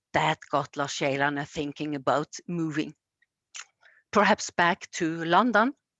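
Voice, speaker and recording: In a Norwegian accent, a woman talks very slowly in a very deep, low voice with ordinary pitch variation. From Norway, Egersund near Stavanger. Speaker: storyteller. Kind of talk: storytelling. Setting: museum. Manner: halting.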